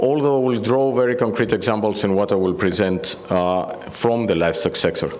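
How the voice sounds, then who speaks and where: A man with a Greek accent at a medium pitch and moderate pace, hardly any pauses, ordinary pitch variation and very even loudness, with audible room echo and noticeable background noise. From Greece, Athens. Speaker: EU agriculture policy director. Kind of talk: conference speech.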